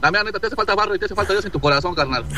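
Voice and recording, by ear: A man talks at a very fast pace. His pitch is high. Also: ordinary pitch variation.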